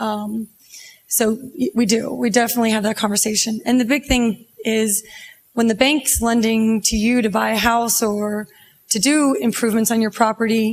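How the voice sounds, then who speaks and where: At a moderate pace, a woman speaks with fairly even intonation and a fairly high pitch. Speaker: bank loan officer. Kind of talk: panel discussion. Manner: loud.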